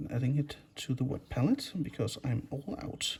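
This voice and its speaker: Here is a man in a Danish accent. His voice sits fairly high in pitch and is somewhat breathy. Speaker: miniature painting youtuber. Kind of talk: tutorial.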